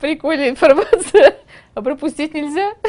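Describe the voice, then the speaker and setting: A woman with a high pitch and lively intonation speaks at a moderate pace over a quiet background. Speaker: news presenter. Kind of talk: off-script blooper remark. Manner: giggly drunk aside. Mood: amused, laughing. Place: studio.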